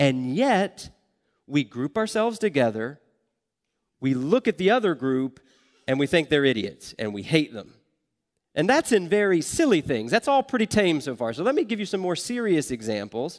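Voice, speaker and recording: Against a quiet background, a man with an American accent speaks at a moderate pace in a fairly high voice with very wide pitch swings. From US South. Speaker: guest preacher. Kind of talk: sermon.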